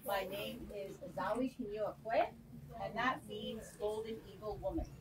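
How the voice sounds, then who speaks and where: Noticeable background noise under a woman talking at a fairly slow pace. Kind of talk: self-introduction to audience. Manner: loud.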